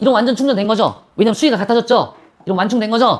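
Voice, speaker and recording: Talking at a very fast pace, a woman speaks with a fairly high pitch. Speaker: physics teacher. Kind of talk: classroom lecture. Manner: casual, bantering.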